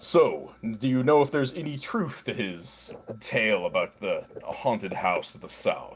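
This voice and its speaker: Pitched fairly high, a man performs a put-on character voice. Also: moderate pace. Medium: actual play. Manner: measured, detached.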